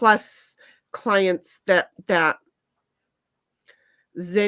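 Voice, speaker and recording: A woman speaks at a very slow pace with an American accent. The sound is dry and close, with no echo. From Colorado. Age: 60s. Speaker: live streamer and business owner. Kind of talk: casual chat. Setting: home, not in usual stream room.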